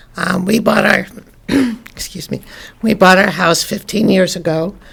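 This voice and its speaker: A woman talks at a moderate pace, her pitch fairly low and her intonation fairly even, while noticeable background noise runs underneath. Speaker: resident giving public comment. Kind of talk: public comment at council meeting. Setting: city council meeting.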